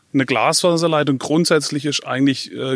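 This man's intonation stays fairly even as he talks at a moderate speed. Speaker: telecom engineer. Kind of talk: interview. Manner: halting, many fillers.

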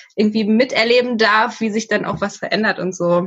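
A woman talks in an ordinary speaking voice. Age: 30s. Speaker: social worker. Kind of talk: casual interview.

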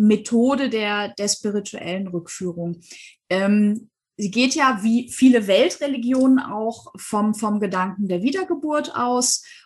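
Somewhat breathy and fairly high in pitch, a woman talks very slowly with ordinary pitch variation. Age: 40s. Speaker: hypnosis and past-life regression coach. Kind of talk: interview.

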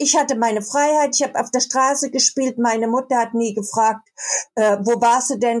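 A woman speaks with a high pitch and fairly even intonation. Her pace is moderate. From Baden, southern Germany. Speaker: writer. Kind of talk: casual chat.

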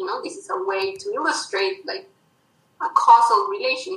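A woman with a Spanish accent projects a raised voice in a bright, sharp tone, her pitch swinging very widely. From Colombia. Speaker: mathematician. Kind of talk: interview.

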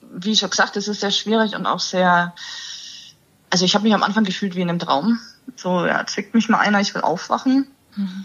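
A woman of medium pitch talks at a fairly quick pace with fairly even intonation and long, frequent pauses, over noticeable background noise. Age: 30s. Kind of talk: interview.

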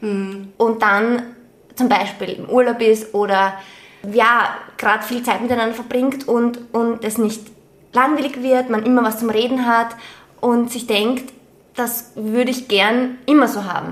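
In an Austrian accent, a woman speaks fairly slowly at a fairly high pitch, with monotone, flat intonation and long, frequent pauses. Audible room echo and noticeable background noise fill the recording. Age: 30s. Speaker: podcast co-host and teacher. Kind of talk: casual chat.

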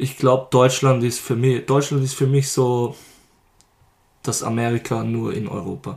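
Somewhat breathy, a man with a medium pitch and fairly even intonation speaks at a fairly slow pace with long, frequent pauses. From Lower Austria. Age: 20s. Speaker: rapper. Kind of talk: casual interview.

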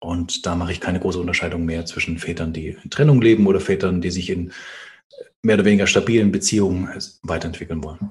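In a very deep, low, somewhat breathy voice, a man races along at a very fast pace with fairly even intonation. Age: 30s. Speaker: fathers' coach and author. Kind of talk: interview conversation.

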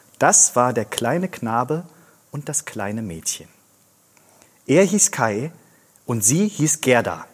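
At a very slow pace with long, frequent pauses, a man at medium pitch swings his pitch very widely. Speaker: actor reading fairy tale aloud. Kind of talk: scripted storytelling, fairy-tale reading.

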